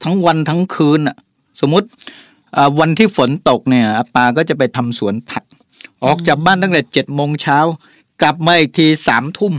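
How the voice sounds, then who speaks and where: A man's fairly high-pitched, unremarkable speaking voice with ordinary pitch variation, in a dry, close sound with no echo. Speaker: business CEO. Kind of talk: radio interview. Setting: radio studio.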